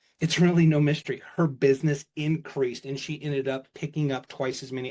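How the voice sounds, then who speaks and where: With an animated tone, a somewhat breathy man talks at a moderate pace and fairly high pitch, his pitch variation ordinary and the background quiet. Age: 50s. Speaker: keynote speaker. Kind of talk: keynote talk. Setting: stage with audience.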